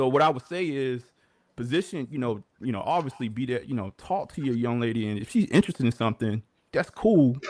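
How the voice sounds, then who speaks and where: A man with an American accent talks fairly quickly, his intonation lively. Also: medium pitch for a man. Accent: Baltimore accent morphed with Southern. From Baltimore, US. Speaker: podcast host. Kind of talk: livestream commentary. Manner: casual, filler-heavy.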